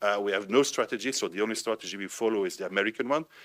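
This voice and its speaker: A man's very fast speech, fairly low in pitch, bright and sharp in tone, with ordinary pitch variation. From Belgium, French-speaking. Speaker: think tank director, panelist. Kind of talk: panel discussion.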